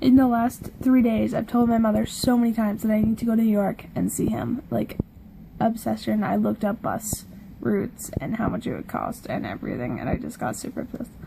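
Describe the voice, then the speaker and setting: The speaker mumbles at a fairly quick pace. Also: woman. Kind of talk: casual talk to camera. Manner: mumbling; rambling, casual.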